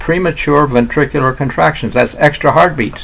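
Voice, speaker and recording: Against noticeable background noise, a man speaks at a fairly high pitch. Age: 80s+. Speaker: retired doctor. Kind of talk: solo health talk to camera. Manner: halting, many fillers and restarts.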